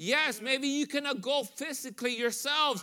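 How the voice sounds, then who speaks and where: A man speaks in a raised, projected voice with a bright, sharp tone. His pace is moderate and his pitch varies ordinarily, on a very clean recording with a silent background. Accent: Spanish. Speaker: visiting missionary preacher. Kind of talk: sermon. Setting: church with congregation. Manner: halting, with many fillers.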